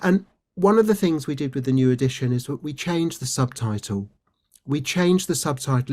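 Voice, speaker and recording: On a very clean recording with a silent background, a man with a British accent talks fairly quickly with lively intonation. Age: 60s. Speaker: resilience trainer and former doctor. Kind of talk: interview conversation.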